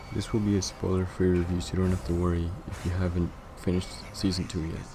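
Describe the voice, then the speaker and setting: Over noticeable background noise, a man with a very deep, low pitch talks very fast in a flat monotone. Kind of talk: TV series review to camera.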